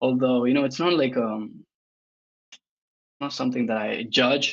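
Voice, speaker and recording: A man with a Spanish accent speaks at a moderate pace. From Argentina. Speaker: crypto influencer. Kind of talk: podcast interview. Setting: livestream on Twitter space and YouTube. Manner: hesitant, many fillers.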